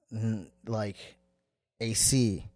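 Over music in the background, a man speaks at medium pitch with an American accent. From US West Coast, San Diego, California. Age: 20s. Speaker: Somali-American traveller, podcast guest. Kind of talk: casual chat.

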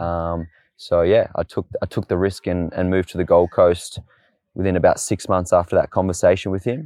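A man with an Australian accent, in a dry, close sound with no echo and a quiet background. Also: moderate pace. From Tasmania, Australia (Launceston). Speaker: fitness and boxing coach. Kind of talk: casual interview. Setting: outdoors in a park.

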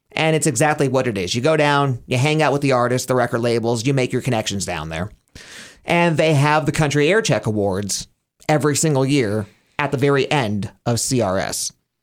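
An unremarkable speaking voice with an American accent, lively intonation and a fairly quick pace, over a very clean, silent background. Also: man. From Pennsylvania. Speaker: radio host. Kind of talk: casual chat.

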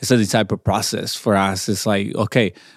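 Talking at a fairly quick pace, a man speaks with a Mexican accent. The recording is very clean, with a silent background. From Mexico, Chihuahua. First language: Spanish. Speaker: pastor. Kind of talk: interview. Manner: halting.

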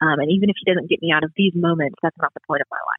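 A woman is speaking. She has a Southern US accent. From US South, Pensacola, Florida. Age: 20s. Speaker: student and church children's ministry worker. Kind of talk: testimony.

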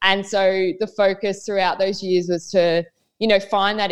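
A woman with an Australian accent, flat and monotone, at a fairly slow pace against a quiet background. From Queensland, Australia. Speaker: professional netball player. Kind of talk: casual chat.

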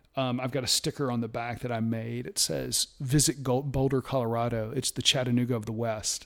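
A man with an American accent has a plain, everyday voice and a medium pitch. He speaks at a fairly quick pace with hardly any pauses and fairly even intonation. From US South. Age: 50s. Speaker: IT innovation strategist and outdoor enthusiast. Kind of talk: casual chat.

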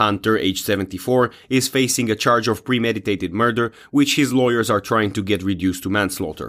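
On a very clean recording with a silent background, a man with a normal speaking voice talks at a fairly quick pace and fairly low pitch, with ordinary pitch variation and hardly any pauses. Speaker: news presenter. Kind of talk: news reading. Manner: formal; steady, measured delivery.

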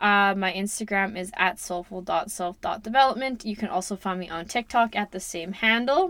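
In a very clean recording with a silent background, a woman speaks at a moderate pace. She has a Western Canadian accent and a bright, sharp tone. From Canada, Alberta-Saskatchewan border. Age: 20s. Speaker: podcast host, self-development coach. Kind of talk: casual monologue.

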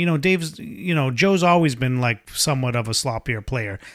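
An unremarkable speaking voice from a man, at a moderate pace with lively intonation. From Boston area, US. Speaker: podcast co-host, guitar hobbyist. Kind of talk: casual chat.

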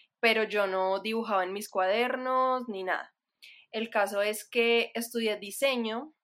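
Fairly slow, fairly even speech on a very clean recording with a silent background. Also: woman. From Colombia, Manizales. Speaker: illustrator and designer. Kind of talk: casual chat.

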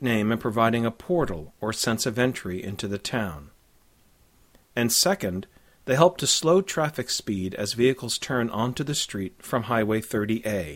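In a very clean recording with a silent background, a man with an ordinary speaking voice talks at a moderate pace and medium pitch, his intonation lively. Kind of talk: scripted audio walking-tour narration, directing listeners street by street. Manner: clear, measured, formal, guide-like and informative.

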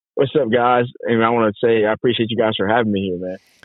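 A man speaks at a fast pace, his pitch fairly low and his intonation fairly even. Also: dry, close sound with no echo.

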